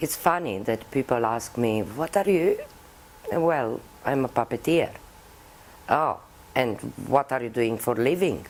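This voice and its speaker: A woman with a Romanian accent and a very deep, low pitch, lively in her intonation, at a fairly slow pace with long, frequent pauses. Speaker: puppeteer. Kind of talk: interview.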